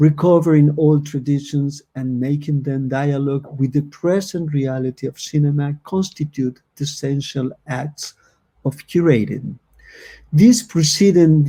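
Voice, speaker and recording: A man with a dark, mellow tone, somewhat breathy, fairly high pitch, ordinary pitch variation and a fairly slow pace. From Argentina. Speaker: moderator. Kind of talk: panel discussion; reading aloud.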